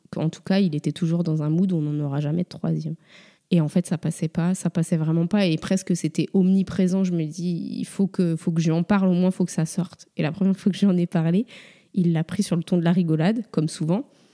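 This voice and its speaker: With a dark, mellow tone and a fairly low pitch, a woman speaks at a fairly quick pace with fairly even intonation, in a dry, close sound with no echo on a very clean recording with a silent background. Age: 30s. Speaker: mother sharing her story. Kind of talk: interview testimony.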